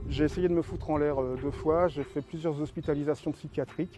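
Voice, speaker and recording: A man speaks at a fairly quick pace in a fairly high voice. His tone is dark and mellow. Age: 50s. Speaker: association member sharing life story. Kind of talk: personal testimony. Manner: halting, many hesitations and repetitions.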